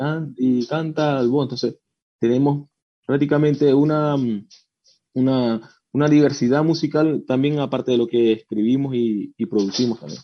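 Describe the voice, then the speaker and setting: An unremarkable speaking voice from a man, fairly slow in pace, with ordinary pitch variation. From Venezuela. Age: 30s. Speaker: rock musician. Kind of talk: radio interview.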